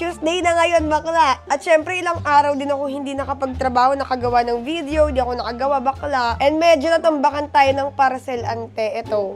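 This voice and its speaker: A woman talks at a fairly quick pace with hardly any pauses, her high voice animated in tone with ordinary pitch variation. Music plays in the background. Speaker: beauty vlogger. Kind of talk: casual vlog, unboxing.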